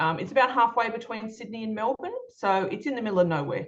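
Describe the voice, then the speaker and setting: A woman talks with an Australian accent. Her pitch varies in an ordinary way. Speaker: children's book author and illustrator. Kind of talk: presentation talk. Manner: hesitant, many fillers.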